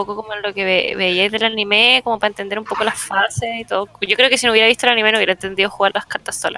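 A woman with a Chilean accent and a fairly high pitch, with music in the background. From northern Chile (Iquique). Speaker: podcast panelist. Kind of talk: casual chat.

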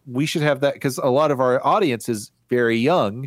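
A man with a medium pitch talks at a fairly quick pace in a normal speaking voice. The sound is dry and close, with no echo. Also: very clean recording, silent background. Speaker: podcast guest. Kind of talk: casual comedic chat.

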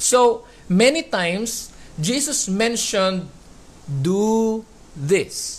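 Very slow pace with long, frequent pauses, in a Filipino accent. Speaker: preacher. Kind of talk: sermon. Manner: emphatic, repeats key words.

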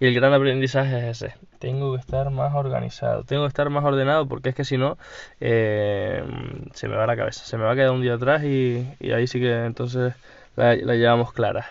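Monotone, flat intonation at a fairly quick pace. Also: man, medium pitch for a man. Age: 20s. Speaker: entrepreneur podcaster. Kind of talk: solo diary podcast. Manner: hesitant, repeats words.

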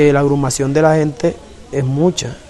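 Fairly even in intonation, the speaker moves at a fairly quick pace over noticeable background noise. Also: man. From Colombian Caribbean coast, Cartagena islands. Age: 20s. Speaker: community leader. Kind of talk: interview testimony.

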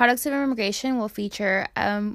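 A normal speaking voice from a woman, medium in pitch, with fairly even intonation, on a very clean recording over a silent background. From Hialeah, Miami, Florida. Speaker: podcast co-host, product manager in tech. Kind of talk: casual chat.

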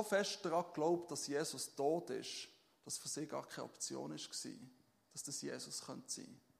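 This man's fairly high voice shows vocal fry, lively intonation and big swings in loudness at a moderate pace. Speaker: pastor. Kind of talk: sermon. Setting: church stage with audience. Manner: relaxed, conversational and informal, with many filler sounds and self-corrections; warm and humble, with humorous asides and a personal tone.

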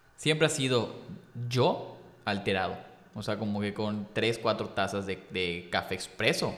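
A man with an unremarkable speaking voice talks at a fairly slow pace and fairly low pitch, with ordinary pitch variation. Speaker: content creator. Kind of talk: casual chat.

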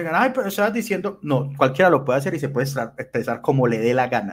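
In an ordinary speaking voice, a man talks at a medium pitch with lively intonation. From Colombia, Medellín. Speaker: podcast host. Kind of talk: casual chat. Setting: livestream.

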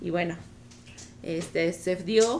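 A woman's fairly low voice with a Mexican accent, audible room echo and noticeable background noise. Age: 40s. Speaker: married guest, mother. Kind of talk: casual panel chat.

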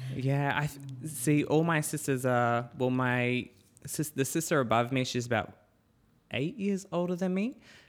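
A man with an Australian accent and fairly high pitch speaks at a moderate pace with ordinary pitch variation, in a very clean recording with a silent background. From far north Queensland, Australia (Cairns). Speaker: dancer. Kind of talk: interview. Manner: halting.

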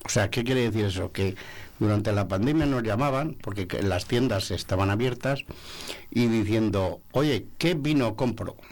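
A man's fairly slow delivery in an ordinary speaking voice, medium in pitch, with ordinary pitch variation and very even loudness. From Segovia province, Spain. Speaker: sommelier association president. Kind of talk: radio interview. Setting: radio studio.

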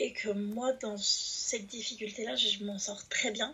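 There is noticeable background noise as a woman talks in a fairly even intonation. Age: 20s. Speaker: rap writer and youth worker. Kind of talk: casual chat.

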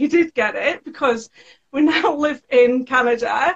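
A woman talks in a British accent. Her intonation is lively. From UK. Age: 30s. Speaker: sewing educator and small business owner. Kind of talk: interview.

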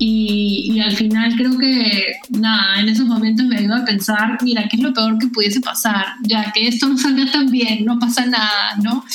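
Speech in a Peruvian accent comes at a fairly slow pace with hardly any pauses. The intonation is monotone and flat, the loudness very even, and there is noticeable background noise. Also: woman, fairly high pitch for a woman. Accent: Peruvian Spanish (Lima). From Peru, Lima. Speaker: tech education entrepreneur. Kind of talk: interview.

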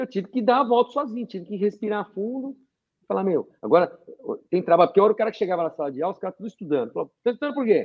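This man's pitch is high and his intonation lively. He talks at a very fast pace. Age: 50s. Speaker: naturopath and university professor. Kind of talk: casual interview chat.

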